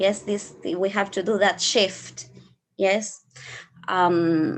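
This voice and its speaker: Speaking very slowly in an Argentine accent, a woman uses a medium pitch with ordinary pitch variation. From Argentina. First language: Spanish. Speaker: flower therapist and English teacher. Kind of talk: online workshop. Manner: halting.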